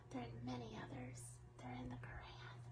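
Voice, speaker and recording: A soft-spoken woman whispers in a soothing tone at a fairly slow pace over noticeable background noise. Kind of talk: ASMR soft talk about angels. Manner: soft-spoken, soothing; whispered.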